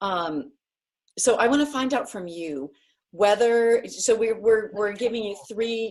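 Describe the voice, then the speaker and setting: Speaking at a very slow pace, a woman with an American accent uses a fairly high pitch and lively intonation. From US Northeast (New Hampshire). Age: 60s. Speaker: writer and writing workshop teacher. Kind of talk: online class. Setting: video call.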